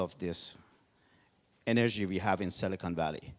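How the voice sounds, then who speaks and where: A man speaks with a non-native accent, his voice sounding dry and close with no echo. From Georgia (country). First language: not English. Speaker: event host and tech entrepreneur. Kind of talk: speech to audience.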